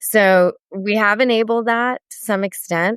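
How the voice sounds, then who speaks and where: A woman with an American accent is heard in a very clean recording with a silent background and a dry, close sound with no echo. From Sri Lankan heritage, US. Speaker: therapist and author. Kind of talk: casual podcast interview.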